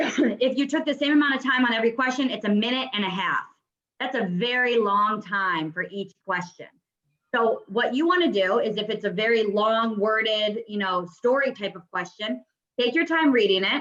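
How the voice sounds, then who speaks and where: Fairly high in pitch, a woman talks with ordinary pitch variation. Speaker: real estate exam prep instructor. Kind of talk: online class lecture. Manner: fast; casual, many filler words.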